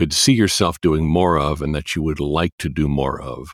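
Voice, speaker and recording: An American accent with vocal fry at a moderate pace, the sound dry and close with no echo. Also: man. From Chicago. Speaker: podcast host and voice actor. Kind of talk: interview. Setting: remote recording.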